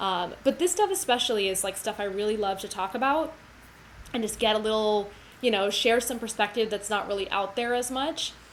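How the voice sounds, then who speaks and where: With an American accent, a woman talks at a fairly quick pace in a fairly high pitch, with audible room echo. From United States. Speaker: cellist and music educator. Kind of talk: livestream lecture. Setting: livestream. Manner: fast.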